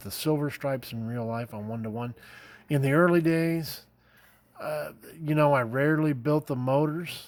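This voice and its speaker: Mumbling at a moderate pace, a man with an American accent speaks at a medium pitch with ordinary pitch variation on a very clean recording with a silent background. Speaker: scale model builder, YouTuber. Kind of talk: casual show-and-tell video. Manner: halting, many fillers; mumbling, rambling.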